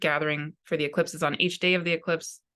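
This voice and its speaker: A woman talks in a fairly low pitch with fairly even intonation. The background is quiet. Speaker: spiritual teacher and astrologer. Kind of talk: spoken channeled talk to viewers. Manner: frequent pauses.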